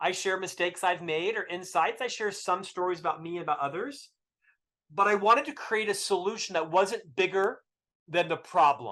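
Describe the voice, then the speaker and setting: Raising and projecting his voice, a man with an American accent speaks at a high pitch and moderate pace, his bright, sharp tone animated, with ordinary pitch variation and a quiet background. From US South. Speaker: author. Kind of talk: podcast interview.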